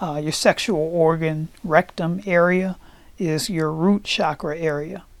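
A woman's unremarkable speaking voice, fairly low in pitch, fairly slow and fairly even in intonation. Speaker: podcast host and meditation guide. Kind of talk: guided meditation. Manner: slow, calm, soothing, with gentle repetition.

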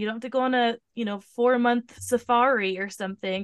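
With an American accent, a woman speaks at a fairly quick pace, her high pitch moving with ordinary variation. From US Pacific Northwest (Tacoma, Washington). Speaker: podcast host and fitness trainer. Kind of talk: casual interview.

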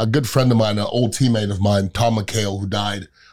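At a medium pitch, a man talks in an ordinary speaking voice. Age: 50s. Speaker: podcast host. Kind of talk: casual chat.

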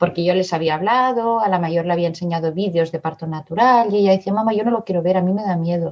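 A woman speaks at a very fast pace with hardly any pauses. Her pitch is medium, with ordinary pitch variation. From Barcelona area, Spain (born in Madrid). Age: 50s. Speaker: mother sharing birth story. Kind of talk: testimony.

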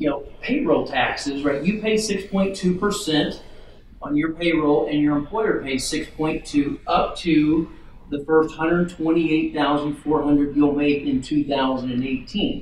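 Amid noticeable background noise and audible room echo, a man with a fairly high pitch speaks at a very slow pace, his pitch varying in an ordinary way. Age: 40s. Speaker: financial planner. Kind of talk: interview.

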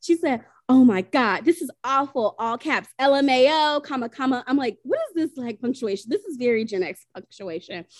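A woman with a high pitch speaks at a moderate pace in an animated tone with lively intonation, recorded dry and close with no echo. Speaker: podcast host. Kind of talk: casual chat.

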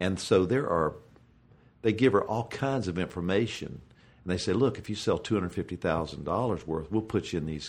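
A man with a very deep, low voice speaks with lively intonation. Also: quiet background. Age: 50s. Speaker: professional golfer. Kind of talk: casual chat.

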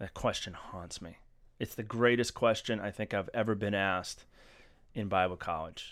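At a moderate pace, a man with an ordinary speaking voice, a fairly low pitch and an American accent talks with fairly even intonation and big swings in loudness, in a very clean recording with a silent background. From Massachusetts. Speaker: podcast co-host. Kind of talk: casual group discussion.

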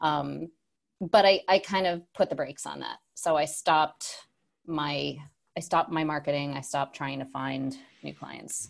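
Against a quiet background, a woman with an American accent speaks at a moderate pace in a very deep, low voice with vocal fry, ordinary pitch variation and big swings in loudness. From upstate New York. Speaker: tech product manager and entrepreneur. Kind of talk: interview. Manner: casual, many fillers.

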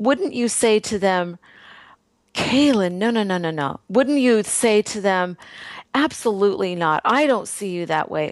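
With an unremarkable speaking voice, a woman talks at a medium pitch and a fairly slow pace. Her intonation is lively. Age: 60s. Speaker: health and nutrition coach, totally blind. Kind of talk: interview.

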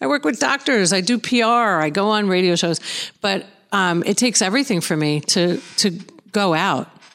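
Lively intonation in a New York accent, at a moderate pace. The recording is very clean, with a silent background. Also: woman, medium pitch for a woman, very even loudness. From Long Island, New York, US. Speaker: author in addiction recovery. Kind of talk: interview.

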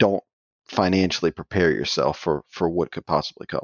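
This man speaks with an American accent and a very deep, low pitch. His pace is fairly quick and his intonation fairly even. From US South, south Louisiana (Cajun). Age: 30s. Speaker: professional poker player. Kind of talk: casual interview.

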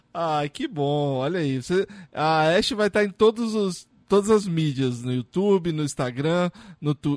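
The speech moves at a fairly slow pace with lively intonation. The sound is dry and close, with no echo. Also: man, high pitch for a man. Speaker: podcast host. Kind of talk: casual interview. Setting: video call.

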